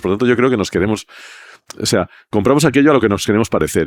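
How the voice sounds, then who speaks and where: The background is silent and the recording very clean. Here a man speaks with ordinary variation in his pitch. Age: 60s. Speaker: advertising creative director. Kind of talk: podcast interview.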